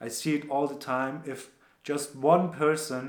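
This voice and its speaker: A man with a non-native accent and fairly even intonation at a fairly slow pace, with audible room echo. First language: not English. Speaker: entrepreneur and former soldier. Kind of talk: casual vlog recap. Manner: casual, relaxed.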